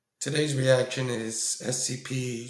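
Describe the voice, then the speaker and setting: A man speaks at medium pitch, very slowly, in a monotone, flat intonation. Audible room echo surrounds his voice. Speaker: YouTube reaction creator. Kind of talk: casual video reaction commentary. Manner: hesitant, many ums.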